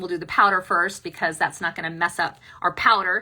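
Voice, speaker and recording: A woman's fairly low voice at a fairly quick pace, with fairly even intonation and noticeable background noise. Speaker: makeup tutorial host. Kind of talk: tutorial. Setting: live stream.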